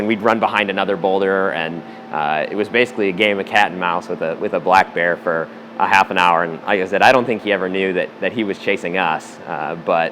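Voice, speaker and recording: A man with an American accent talks at a fairly quick pace. His pitch is fairly low, and there is noticeable background noise. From US Midwest, St. Louis, Missouri. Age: 30s. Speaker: rock climber. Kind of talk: interview monologue, storytelling. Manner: halting, many fillers.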